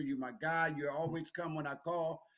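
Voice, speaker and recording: Very clean with a silent background, the recording has a man with a normal speaking voice talking at a fairly quick pace, his fairly high pitch held in fairly even intonation. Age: 60s. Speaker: sports radio host and basketball coach. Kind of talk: casual sports talk show.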